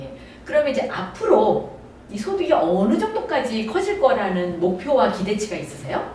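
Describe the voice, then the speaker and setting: Woman at a medium pitch and moderate pace, with very wide pitch swings, audible room echo, and noticeable background noise. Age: 60s. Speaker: network marketing business leader and channel host. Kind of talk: interview.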